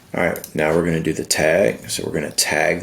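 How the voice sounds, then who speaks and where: There is noticeable background noise as a man speaks with a very deep, low pitch. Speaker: software tutorial creator. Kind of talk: screen-recorded tutorial. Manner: casual.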